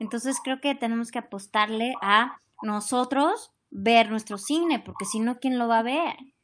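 A woman speaks at a fairly slow pace with a plain, everyday voice, fairly high pitch, ordinary pitch variation and hardly any pauses against a quiet background. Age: 40s. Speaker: actress. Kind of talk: interview.

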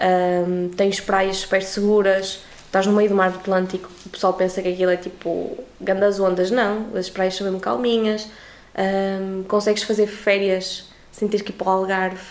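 A woman speaks in a monotone, flat intonation with noticeable background noise around her. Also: medium pitch for a woman, moderate pace. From Portugal. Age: 20s. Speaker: university student. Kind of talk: casual interview chat.

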